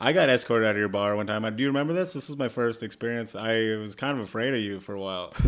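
At a very fast pace and with hardly any pauses, a man speaks at a medium pitch. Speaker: comedian. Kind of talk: casual interview chat. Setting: basement studio. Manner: flat, sarcastic-sounding delivery.

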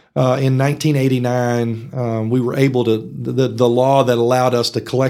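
A man talks in a West Texas accent at a medium pitch. His pace is fairly quick and his intonation is monotone and flat. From Texas Panhandle, from age ten (born in Arkansas). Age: 50s. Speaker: economic development executive. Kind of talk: casual interview. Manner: hesitant with fillers.

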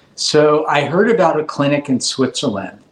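A man's lively intonation, in a Californian accent. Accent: Californian American. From Los Angeles, California (Granada Hills). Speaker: cosmetic dentist. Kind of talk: interview.

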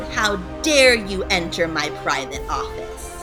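A put-on character voice at a fairly slow pace over loud music in the background. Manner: bellowing, angry.

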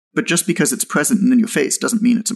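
A man speaks with a Canadian accent. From Canada, Toronto. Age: 30s. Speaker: fitness entrepreneur. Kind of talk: casual interview conversation.

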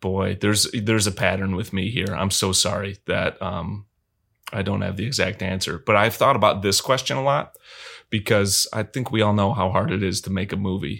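An unremarkable speaking voice from a man, fairly low in pitch, at a moderate pace with ordinary pitch variation, on a very clean recording with a silent background. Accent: American. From Michigan, US Midwest. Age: 30s. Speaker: film director and cinematographer. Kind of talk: casual interview.

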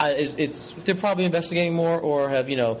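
A man is speaking. Background noise is noticeable. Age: 20s. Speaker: card game tournament winner. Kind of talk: interview.

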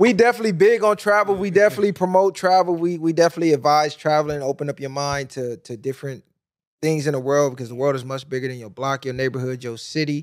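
A man at a fairly high pitch and a very fast pace, animated, with lively intonation and big swings in loudness, on a very clean recording with a silent background. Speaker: podcast host. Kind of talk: casual podcast interview. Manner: animated, hype.

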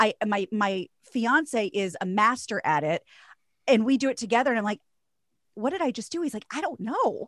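With an ordinary speaking voice, a woman speaks at a fairly high pitch and with lively intonation. The very clean recording has a silent background and a dry, close sound with no echo. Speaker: radio host and voiceover artist. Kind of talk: casual interview chat.

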